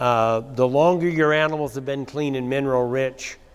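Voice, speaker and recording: Delivered in an unremarkable speaking voice, the speech keeps a moderate pace and fairly even intonation. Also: man. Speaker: cattle rancher and conference speaker. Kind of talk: conference talk with slides.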